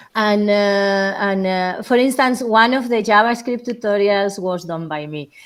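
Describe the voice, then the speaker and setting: A woman speaks with a strong Spanish accent. Her pace is fairly slow. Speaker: remote speaker on geospatial machine learning. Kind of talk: technical talk and Q&A. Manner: halting, many fillers.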